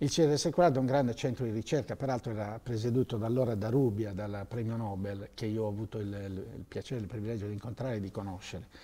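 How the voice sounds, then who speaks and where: A man with a dark, mellow tone talks at a very fast pace with hardly any pauses and ordinary pitch variation. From Sardinia, Sassari area; Sardinia. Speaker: former telecom manager; interview guest. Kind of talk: interview. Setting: TV studio. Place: studio. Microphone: lapel.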